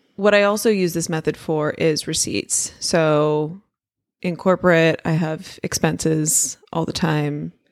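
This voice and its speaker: At a fairly slow pace, a woman speaks in a plain, everyday voice. Her pitch is fairly low, with ordinary pitch variation. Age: 30s. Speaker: podcast co-host. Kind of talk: casual chat.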